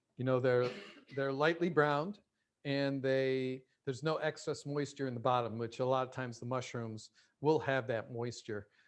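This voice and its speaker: A man at a moderate pace with fairly even intonation, against a quiet background. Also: medium pitch for a man. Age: 60s. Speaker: plant-based chef and cooking instructor. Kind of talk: cooking demonstration. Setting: video call. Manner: hesitant, many fillers.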